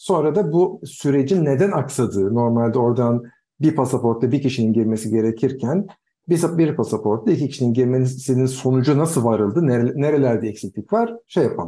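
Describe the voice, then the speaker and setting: Against a quiet background, a man with a medium-pitched, dark, mellow voice talks at a moderate pace with lively intonation and very even loudness. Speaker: podcast co-host. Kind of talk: casual chat. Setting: video call. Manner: serious.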